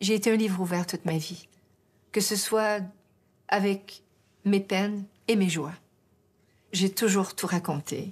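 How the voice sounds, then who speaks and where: A woman speaks very slowly, with long, frequent pauses and fairly even intonation. Her voice is somewhat breathy, and the recording is very clean with a silent background. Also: medium pitch for a woman. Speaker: singer. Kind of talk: interview answer. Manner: hesitant, emotional.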